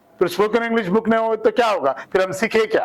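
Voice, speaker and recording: A man with a Hyderabadi accent and a high pitch, at a moderate pace. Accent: Hyderabadi Hindi. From Hyderabad, South India. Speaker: English trainer. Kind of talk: tutorial. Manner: animated.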